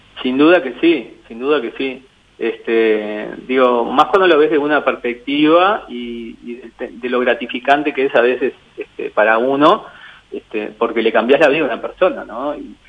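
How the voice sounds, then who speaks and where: A man speaks at a medium pitch and a moderate pace, with ordinary pitch variation and big swings in loudness, against noticeable background noise. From Uruguay (Mercedes, Durazno, San José, Tacuarembó). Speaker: mentalist and painter. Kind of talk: radio interview. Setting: phone call. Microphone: poor mobile phone line.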